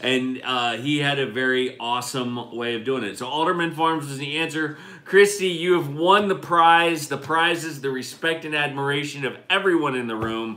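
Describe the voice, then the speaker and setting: A man speaks at a moderate pace in a fairly high pitch, with ordinary pitch variation, hardly any pauses and audible room echo. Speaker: homestead channel co-host. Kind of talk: casual live-stream chat. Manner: loud, projecting.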